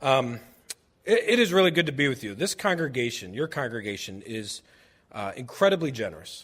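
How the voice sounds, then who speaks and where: A loud man speaks with an American accent. His pitch is fairly high and swings very widely. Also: fairly quick pace, very clean recording, silent background. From New Jersey, outside Philadelphia. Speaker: church charity director. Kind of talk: presentation to a congregation. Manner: casual, animated.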